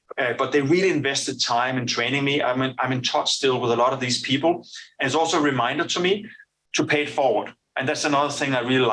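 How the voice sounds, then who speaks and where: A man of medium pitch with a Danish accent and a bright, sharp tone, talking at a fairly quick pace with ordinary pitch variation. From Denmark. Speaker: business executive. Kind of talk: interview. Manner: halting, many fillers and repetitions.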